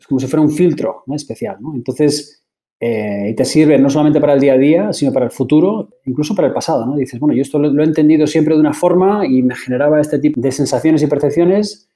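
The voice has a dark, mellow tone and rushes at a very fast pace with hardly any pauses and big swings in loudness. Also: man, fairly high pitch for a man, ordinary pitch variation. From Basque Country, Spain. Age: 40s. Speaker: tech executive. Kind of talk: interview. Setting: podcast.

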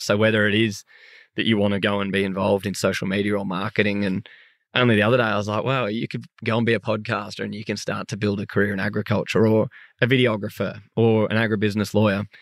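A man speaks very fast in an Australian accent. His voice is fairly low, and his intonation is monotone and flat. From Sydney, Australia. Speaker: podcaster and agriculture advocate. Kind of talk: casual interview chat. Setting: remote call from a farm.

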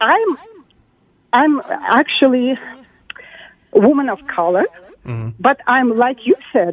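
Speaking at a very slow pace, a woman with a non-native accent leaves long, frequent pauses. Her high voice swings very widely in pitch. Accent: foreign-accented English. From country with socialism. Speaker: caller. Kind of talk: casual call-in rant. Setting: phone call. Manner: outraged, animated.

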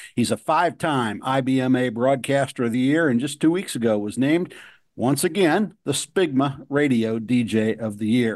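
Against a quiet background, a man with an unremarkable speaking voice talks at a moderate pace, medium in pitch with ordinary pitch variation. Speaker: radio host. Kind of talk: radio interview, host patter and intros. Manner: smooth, friendly, polished broadcaster delivery.

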